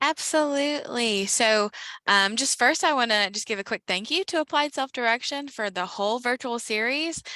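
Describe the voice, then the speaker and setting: Pitched high, a woman with an American accent speaks at a moderate pace with lively intonation and a bright, sharp tone, in a very clean, dry, close recording with a silent background and no echo. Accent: slight Southern US, comes out at times. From South Carolina. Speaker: former support broker, state program staff. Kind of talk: panel discussion.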